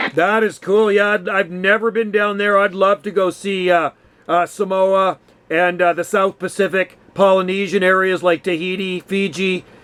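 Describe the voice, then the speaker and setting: At a moderate pace, a man speaks in a high pitch with monotone, flat intonation. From western Canada. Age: 50s. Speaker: radio hobbyist. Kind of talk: casual chat. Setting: radio call.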